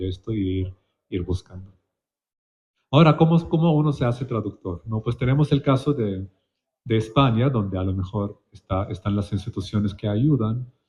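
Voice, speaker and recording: Somewhat breathy, a man talks fairly quickly in a fairly low voice with lively intonation. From Palestine. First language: Palestinian colloquial Arabic (speaking Spanish). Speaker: literary translator. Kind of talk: panel discussion. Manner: halting, with frequent repetitions and fillers.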